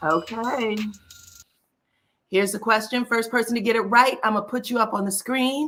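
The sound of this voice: A woman puts on a character voice, raspy and fairly high in pitch. She goes at a moderate pace with long, frequent pauses.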